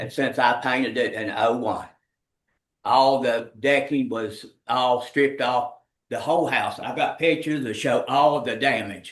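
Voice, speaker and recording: An ordinary speaking voice from a man with an American accent, medium in pitch, at a moderate pace with fairly even intonation. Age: 60s. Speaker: estate executor, home builder. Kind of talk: public testimony at meeting. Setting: county commission meeting.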